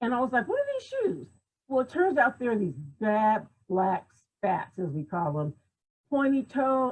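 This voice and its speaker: A somewhat breathy woman's voice with an animated tone. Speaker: image consultant and personal stylist. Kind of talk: talk on a livestream. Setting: video call.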